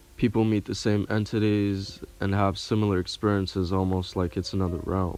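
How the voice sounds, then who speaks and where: In a fairly low pitch, a man talks at a moderate pace with monotone, flat intonation. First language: not English. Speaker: online video creator. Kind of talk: casual monologue with reading aloud.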